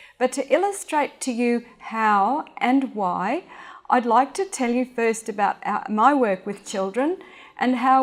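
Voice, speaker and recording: The speaker has an Australian accent and lively intonation, at a fairly slow pace. The recording is very clean, with a silent background. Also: woman. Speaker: speech and hearing specialist. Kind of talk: public talk. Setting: stage with audience.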